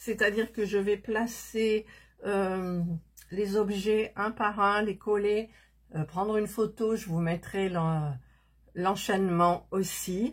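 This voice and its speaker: A woman talks at a very slow pace. Her medium-pitched voice is somewhat breathy. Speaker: miniature crafting YouTuber. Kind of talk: casual crafting tutorial chat. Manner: soft-spoken; hesitant, many fillers.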